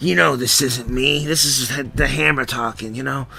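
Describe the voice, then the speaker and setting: Putting on a raspy character voice, a man speaks at medium pitch and a moderate pace with lively intonation over clear background noise. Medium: read story. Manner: bleak, brooding.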